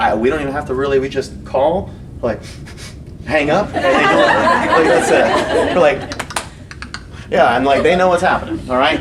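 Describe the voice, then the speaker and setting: The speech is broken by long, frequent pauses. Audible room echo and noticeable background noise fill the recording. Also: man. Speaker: fitness coach. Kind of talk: lecture. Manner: fast; animated.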